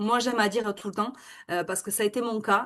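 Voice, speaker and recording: The speaker has a Toulouse accent and moves at a fairly quick pace. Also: woman. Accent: southern French (Toulouse). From southern France, Toulouse area. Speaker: network marketing seller and real estate worker. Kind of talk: webinar presentation. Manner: hesitant, many fillers.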